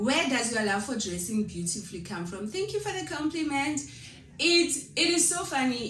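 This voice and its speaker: Moving at a moderate pace, the voice makes very wide pitch swings amid audible room echo. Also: woman. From South Africa, Limpopo. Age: 30s. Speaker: vlogger. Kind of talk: Q&A vlog, casual talk to camera.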